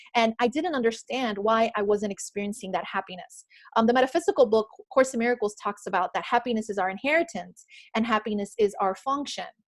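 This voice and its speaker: Talking at a very fast pace with a slight Miami accent, a woman uses lively intonation in a fairly high pitch. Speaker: author and spiritual speaker. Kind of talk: motivational talk on a group call. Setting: group call. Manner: unscripted, with many fillers.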